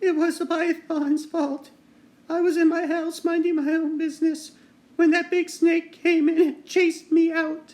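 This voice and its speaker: A man puts on a character voice at an extremely high pitch with a timid tone. He talks at a moderate pace in a monotone, flat delivery. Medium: read story.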